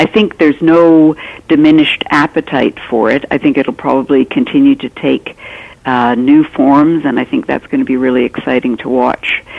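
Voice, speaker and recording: A woman with a Canadian accent speaks in a very deep, low pitch. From Canada. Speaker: author. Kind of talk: interview conversation. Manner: halting, many fillers.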